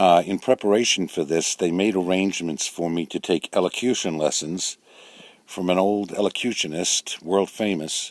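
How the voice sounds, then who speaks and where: A man's very deep, low voice in a New York accent, with ordinary pitch variation and a moderate pace. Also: dry, close sound with no echo. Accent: New York accent, come back. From New York City. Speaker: storyteller recounting his life. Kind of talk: personal memoir narration. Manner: hesitant, many uh fillers.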